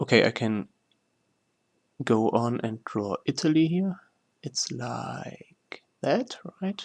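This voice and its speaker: A man speaks very slowly with long, frequent pauses, in a non-native accent. His pitch sits mid-range and swings very widely. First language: not English. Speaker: gaming YouTuber. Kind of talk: tutorial. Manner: halting, many fillers.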